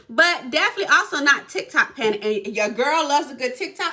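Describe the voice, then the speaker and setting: Over noticeable background noise, a woman talks in an animated tone with a raised, projected voice, very wide pitch swings and a moderate pace. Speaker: real estate agent. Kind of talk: casual explainer video.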